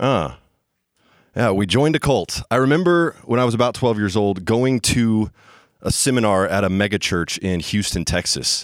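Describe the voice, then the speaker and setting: A man with an American accent and an unremarkable speaking voice talks at a moderate pace and a fairly low pitch, with lively intonation and very even loudness. The recording is very clean, with a silent background. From US South (Bible Belt). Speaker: storyteller. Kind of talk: live storytelling. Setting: stage with audience.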